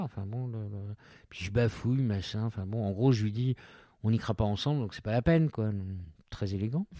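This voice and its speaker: A fairly quick, dark, mellow man's voice at fairly low pitch with ordinary pitch variation, on a very clean recording with a silent background. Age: 50s. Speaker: journalist. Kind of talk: casual interview about his sex life. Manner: hesitant, many repetitions.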